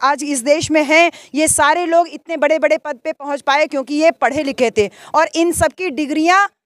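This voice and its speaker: A woman's high-pitched voice with fairly even intonation, in a dry, close sound with no echo. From Azamgarh, eastern Uttar Pradesh. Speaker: election candidate and professor. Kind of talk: campaign interview. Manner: impassioned, speech-like.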